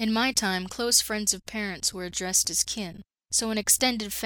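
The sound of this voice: The background is quiet. The reading voice is unforced.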